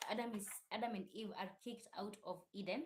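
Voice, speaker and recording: A woman's medium-pitched, somewhat breathy voice at a moderate pace, with fairly even intonation. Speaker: YouTube channel host discussing religion. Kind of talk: casual live stream talk. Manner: uneven volume.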